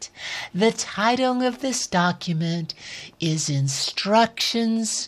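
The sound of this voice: An unforced reading voice with lively intonation.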